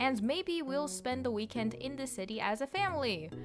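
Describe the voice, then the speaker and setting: Her pitch swinging very widely, a woman with a Russian accent speaks at a moderate pace. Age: 20s. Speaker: YouTuber. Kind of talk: vlog narration.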